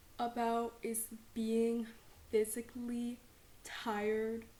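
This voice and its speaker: A woman with an American accent, very slow and monotone in flat intonation, over noticeable background noise. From Texas. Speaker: student, podcast host. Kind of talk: podcast introduction talk.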